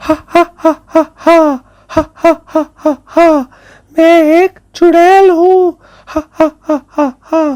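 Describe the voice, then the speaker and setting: A female-sounding, cartoonish character voice with a menacing tone, cackling at an extremely high pitch, fairly slow and monotone with flat intonation. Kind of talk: animated horror story narration for children. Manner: cackling, menacing.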